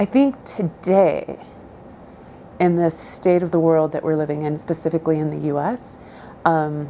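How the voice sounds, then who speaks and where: Pausing long and often, a woman speaks at a moderate pace in a fairly low pitch with a dark, mellow tone and ordinary pitch variation. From southern Idaho, US. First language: Spanish. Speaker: interviewee. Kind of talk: interview answers. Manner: hesitant, many fillers.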